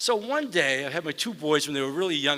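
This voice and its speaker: With a Boston accent, a man talks very fast with ordinary pitch variation amid noticeable background noise. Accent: Boston accent, still noticeable. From US Northeast (Boston). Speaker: mayor. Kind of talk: award ceremony speech. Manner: hesitant, conversational.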